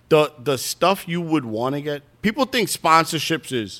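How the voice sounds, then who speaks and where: A man with a New York accent talks with very wide pitch swings. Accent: New York City. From Brooklyn, New York. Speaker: drag racer. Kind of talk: casual chat.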